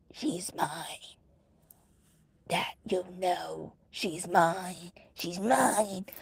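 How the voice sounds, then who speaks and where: A put-on character voice, raspy and growling, at a very slow pace with long, frequent pauses. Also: female-sounding voice, medium pitch for a woman. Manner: growling, snarling.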